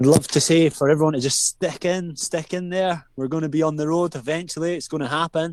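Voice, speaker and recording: With a Scottish accent, a man talks in fairly even intonation on a very clean recording with a silent background. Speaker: metal band drummer. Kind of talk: interview.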